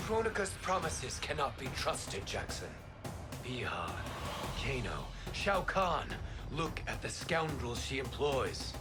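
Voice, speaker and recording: A cartoonish character voice at a fairly slow pace, with loud music in the background. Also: man, fairly high pitch for a man. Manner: solemn, formal.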